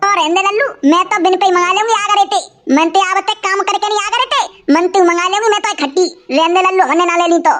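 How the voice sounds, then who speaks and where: In a cartoonish character voice, a woman talks at a very fast pace with an extremely high pitch. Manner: argumentative.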